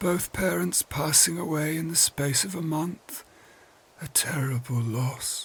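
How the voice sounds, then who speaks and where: A put-on character voice is used here, pitched in the middle. It moves fairly slowly. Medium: read story. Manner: soft, unctuous, unsettling.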